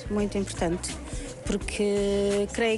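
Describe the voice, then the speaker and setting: Over music in the background, a woman speaks at a medium pitch with monotone, flat intonation. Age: 60s. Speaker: passer-by. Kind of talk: street interview.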